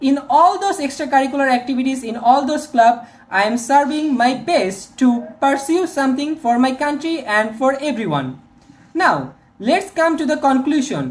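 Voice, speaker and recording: A woman speaks in a Bangladeshi accent at a moderate pace. Her voice is high, with ordinary pitch variation. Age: 20s. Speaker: software engineering student. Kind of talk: video resume talk to camera.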